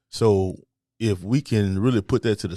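This man's voice has a dark, mellow tone, a fairly low pitch and ordinary pitch variation. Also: very clean recording, silent background. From Memphis, Tennessee (South Memphis). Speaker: roofing contractor and business owner. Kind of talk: casual interview.

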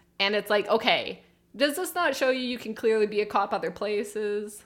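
A woman's normal speaking voice, fairly high in pitch, with a Canadian accent and a fairly quick pace. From Canada. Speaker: podcast co-host. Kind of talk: casual chat.

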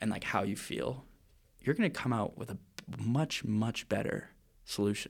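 Speaking at a moderate pace with long, frequent pauses, a man with a medium pitch and ordinary pitch variation shows vocal fry. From Vancouver, Canada. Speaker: co-host of student podcast. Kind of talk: casual chat between friends. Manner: casual, joking.

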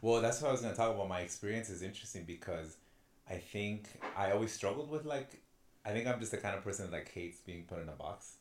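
An American man speaks at a very fast pace. His pitch variation is ordinary. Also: fairly low pitch for a man. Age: 20s. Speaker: podcast co-host. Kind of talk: casual chat. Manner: halting.

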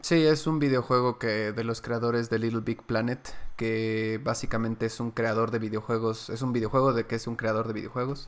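At a moderate pace with hardly any pauses, a man with a Mexican accent speaks at medium pitch in a monotone, flat intonation. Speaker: podcast and stream host. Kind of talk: casual chat. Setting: live stream from a new set.

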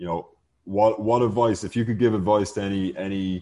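Over a quiet background, a man with an Irish accent speaks at a moderate pace in a dark, mellow tone with monotone, flat intonation. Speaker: podcast host, real estate advisor. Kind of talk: casual chat.

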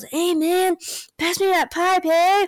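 An extremely high-pitched, put-on character voice. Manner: stoned drawl.

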